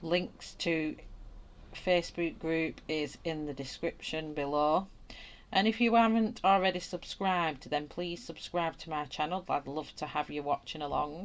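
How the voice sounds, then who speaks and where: A woman speaks with a strong Lancashire accent at a fairly low pitch and a fairly slow pace. The recording is very clean with a silent background. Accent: broad flat northern English (Wigan). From northern England, Wigan. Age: 40s. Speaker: art YouTuber. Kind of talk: live stream chat while colouring. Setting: live stream. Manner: casual, chatty.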